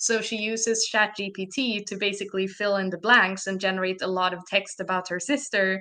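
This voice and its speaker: With a Swedish accent, a woman at a medium pitch speaks at a moderate pace in a bright, sharp tone with fairly even intonation. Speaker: narrative designer and game developer. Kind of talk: podcast interview.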